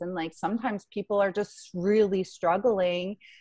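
A woman speaks at a medium pitch. Her pace is fairly slow, and the background is quiet. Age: 30s. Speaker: gym owner and fitness coach. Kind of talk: casual interview. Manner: halting, many fillers.

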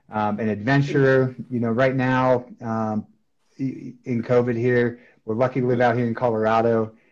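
Speaking at a moderate pace, a man keeps a medium pitch. His intonation is monotone and flat. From Wisconsin, US Upper Midwest (Beaver Dam). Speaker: sales team manager. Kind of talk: casual interview.

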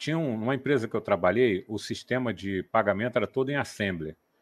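Recorded very cleanly against a silent background, a man talks at a fairly quick pace in a medium pitch with an ordinary speaking voice. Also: hardly any pauses. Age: 60s. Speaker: software developer, co-host. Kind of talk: casual chat. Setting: live stream.

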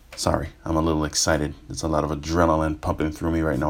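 Over noticeable background noise, a man with an American accent talks at a very fast pace in a very deep, low voice with monotone, flat intonation. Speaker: podcast host, wrestling reviewer. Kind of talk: casual monologue review. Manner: kept to medium volume.

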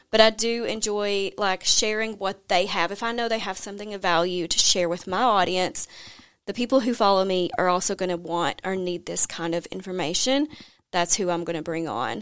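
On a very clean recording with a silent background, a woman with an American accent speaks at a moderate pace and medium pitch with ordinary pitch variation. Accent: Southern US, slight now. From US South, Tennessee. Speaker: money coach and podcaster. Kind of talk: casual interview chat.

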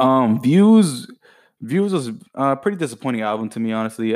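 On a very clean recording with a silent background, a man talks at a fairly quick pace with medium pitch and lively intonation. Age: 20s. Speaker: podcast host. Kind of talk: casual monologue. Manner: casual, filler-heavy.

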